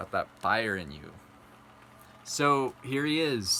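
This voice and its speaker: A soft-spoken man talks at a very slow pace. His tone is bright and sharp. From South Dakota. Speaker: vlogger. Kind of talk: casual talk to camera. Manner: halting.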